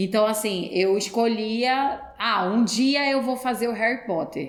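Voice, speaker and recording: A woman's voice with ordinary pitch variation. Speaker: actress. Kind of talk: podcast interview.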